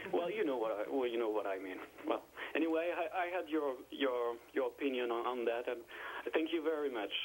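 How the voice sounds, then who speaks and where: A medium-pitched man at a fairly quick pace, with lively intonation and noticeable background noise. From France. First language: French. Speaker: caller. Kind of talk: call-in discussion. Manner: halting.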